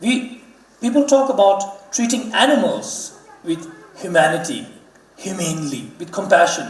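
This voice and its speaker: Over noticeable background noise and audible room echo, a man with a high pitch talks at a moderate pace with lively intonation. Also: big swings in loudness. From Ladakh, India. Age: 30s. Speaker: Buddhist religious leader, guest speaker. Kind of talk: public talk. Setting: auditorium stage with audience.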